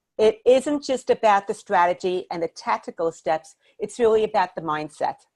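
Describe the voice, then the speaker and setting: Lively in intonation and at a moderate pace, a woman with a New York accent speaks in a dry, close sound with no echo. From Brooklyn, New York, then Miami, Florida. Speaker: business coach. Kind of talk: webinar presentation.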